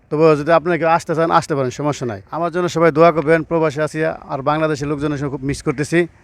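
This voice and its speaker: A man's fairly high-pitched voice, a plain, everyday voice with fairly even intonation. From Bangladesh, Mymensingh (Bhaluka). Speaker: migrant worker, driver. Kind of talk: interview.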